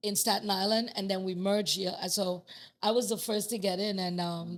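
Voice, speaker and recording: A woman with a strong Trinidadian accent speaks at a fairly quick pace and medium pitch on a very clean recording with a silent background. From Trinidad and Tobago. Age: 50s. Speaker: master plumber. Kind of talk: casual chat. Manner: animated.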